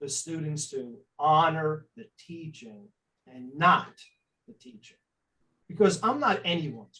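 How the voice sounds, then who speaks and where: Speaking at a fairly slow pace, a man uses a fairly high voice with a bright, sharp tone. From New York City, Staten Island. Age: 60s. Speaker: spiritual life coach. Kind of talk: interview.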